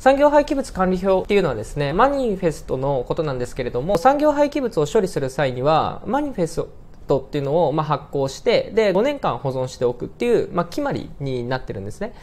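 Talking at a very fast pace with hardly any pauses, a man uses a high voice that makes very wide pitch swings. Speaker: presenter. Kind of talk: tutorial. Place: office.

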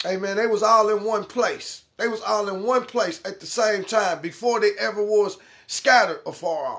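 A man talks at a moderate pace. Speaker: religious teacher. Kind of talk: sermon. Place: home room. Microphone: phone near.

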